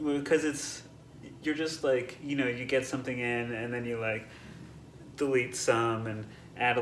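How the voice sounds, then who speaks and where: Soft-spoken and monotone with flat intonation, a man at a medium pitch speaks at a fairly slow pace over noticeable background noise and audible room echo. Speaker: composer. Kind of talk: interview answers. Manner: halting, many fillers and restarts.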